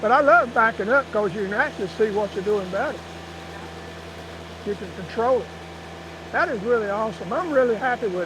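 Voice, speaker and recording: With a North Carolina accent, a man speaks in a high voice at a fairly quick pace with lively intonation. He leaves long, frequent pauses, and there is noticeable background noise. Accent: Southern US (North Carolina). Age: 70s. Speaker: tractor owner. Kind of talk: casual chat.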